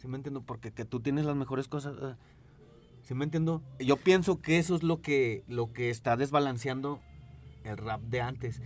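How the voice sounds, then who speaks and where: Music playing behind a man's voice, medium in pitch with ordinary pitch variation, at a moderate speed. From Zacatecas, Mexico. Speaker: DJ and music producer. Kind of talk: casual chat.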